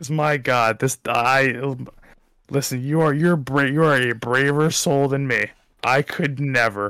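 A fairly high-pitched man with a bright, sharp tone at a fairly slow pace, on a very clean recording with a silent background. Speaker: sports podcast host. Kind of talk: casual chat. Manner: animated, exasperated.

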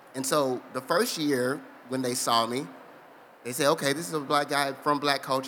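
A man talks at a fairly quick pace in a normal speaking voice. His intonation stays fairly even. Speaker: physician and nonprofit founder. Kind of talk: casual interview. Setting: live expo hall with audience.

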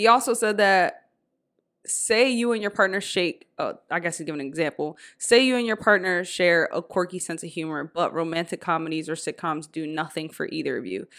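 A woman speaks in a plain, everyday voice at a moderate pace. Her pitch is fairly low with ordinary variation, on a very clean recording with a silent background. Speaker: podcast host. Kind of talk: casual chat.

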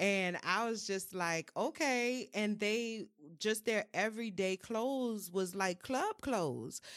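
A woman with a New Orleans accent, medium pitch, ordinary pitch variation and a very slow pace. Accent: New Orleans Southern US. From New Orleans, US South. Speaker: mental health and wellness creative. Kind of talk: casual chat.

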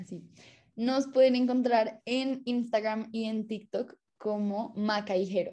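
The delivery is very slow and somewhat breathy. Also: woman, fairly high pitch for a woman, fairly even intonation. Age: 20s. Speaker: music student and singer. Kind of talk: casual chat.

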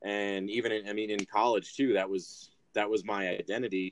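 At a moderate pace, a man with an American accent speaks in a plain, everyday voice, fairly low in pitch with fairly even intonation. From Michigan, US Midwest. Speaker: rugby player. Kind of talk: casual chat.

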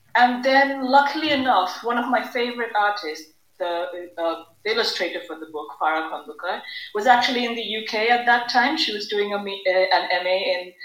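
Speaking in a Bengali accent, a woman keeps a moderate pace. Her intonation is lively. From Bangladesh. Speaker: children's book author. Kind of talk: casual chat.

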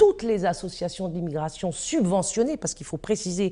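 Against a quiet background, a woman at a medium pitch speaks at a moderate pace with lively intonation and a dark, mellow tone. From France, Paris. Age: 50s. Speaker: activist and filmmaker. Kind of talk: interview testimony. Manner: hesitant, with fillers and repetitions.

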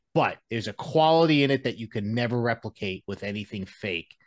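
A man with a normal speaking voice talks at medium pitch and a moderate pace, his intonation lively, against a quiet background. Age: 30s. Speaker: podcast guest, former metal guitarist. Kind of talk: casual chat.

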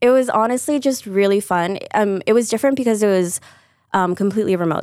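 At a fairly quick pace, a woman with an American accent and an unremarkable speaking voice shows ordinary pitch variation in a very clean recording with a silent background. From Chicago area (Deerfield), US Midwest. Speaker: PR and marketing professional. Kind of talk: interview.

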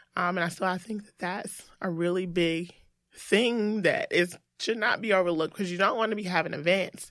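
A woman's unremarkable speaking voice at medium pitch and moderate pace, with fairly even intonation and big swings in loudness, on a very clean recording with a silent background. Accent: American. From US South, Greensboro, North Carolina. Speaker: marketing and digital transformation executive. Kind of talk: casual interview.

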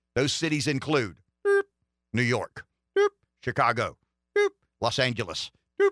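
A man uses a robotic, put-on character voice at a medium pitch and moderate pace. Long, frequent pauses break up his speech. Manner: flat, robotic, monotone.

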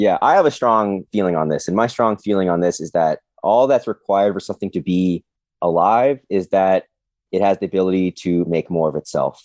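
With an unremarkable speaking voice, a man talks at a fairly low pitch and a fairly quick pace with ordinary pitch variation, the sound dry and close with no echo over a quiet background. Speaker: guest. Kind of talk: casual chat.

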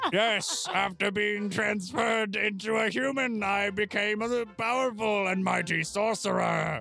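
Clear music plays in the background. A put-on character voice at a fairly high pitch runs on with hardly any pauses. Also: moderate pace. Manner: polite, faintly posh, strained.

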